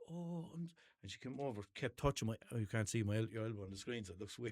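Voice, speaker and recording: This man speaks very fast with a Limerick accent. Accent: Limerick Irish. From Ireland, Limerick. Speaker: podcast host. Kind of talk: casual chat. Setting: small studio. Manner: animated storytelling.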